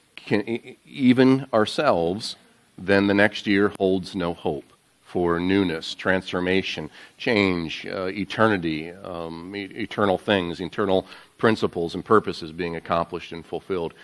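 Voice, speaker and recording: A man talks at a moderate pace with an unremarkable speaking voice. His pitch is fairly low, with ordinary pitch variation. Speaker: pastor giving welcome. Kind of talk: sermon. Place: church.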